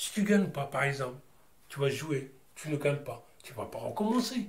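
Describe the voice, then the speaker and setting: Here a man talks at a moderate pace, his voice making very wide pitch swings. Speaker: interviewee sharing life story. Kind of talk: testimony. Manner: loud, sounds angry though not; hesitant, repetitive casual speech.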